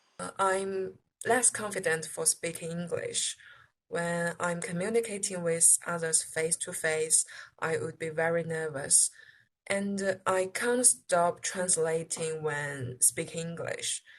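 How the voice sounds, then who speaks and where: Speaking with a Chinese accent, a woman talks at a fairly slow pace in a fairly low, somewhat breathy voice with ordinary pitch variation. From China. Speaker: international student. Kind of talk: interview answers. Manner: halting.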